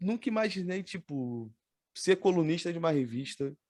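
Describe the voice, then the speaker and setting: A man with a strong Rio de Janeiro accent on a very clean recording with a silent background. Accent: strong carioca. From Rio de Janeiro, Baixada Fluminense (Nilópolis). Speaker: podcast host. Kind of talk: casual chat.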